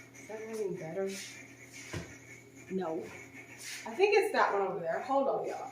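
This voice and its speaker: A woman speaks at a moderate pace and fairly high pitch, with very wide pitch swings, big swings in loudness, and long, frequent pauses. Noticeable background noise and audible room echo fill the recording. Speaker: home renovation vlogger. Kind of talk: vlog. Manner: soft-spoken.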